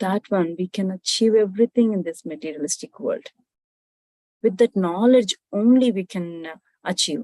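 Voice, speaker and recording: A woman speaks at a medium pitch in a dark, mellow tone. The sound is dry and close, with no echo. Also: ordinary pitch variation, moderate pace. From Andhra Pradesh, India. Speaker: IT consulting business owner, spiritual seeker. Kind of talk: spiritual talk on meditation and wisdom.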